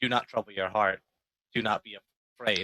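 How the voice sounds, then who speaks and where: Here a man performs in a put-on character voice. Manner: soft and reassuring.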